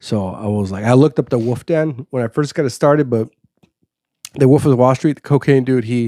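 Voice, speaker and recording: Here a man with a Chicago accent speaks fairly quickly in a medium-pitched, dark, mellow tone. His pitch varies in an ordinary way. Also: dry, close sound with no echo. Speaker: podcast host, guest on another podcast. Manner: fast talker.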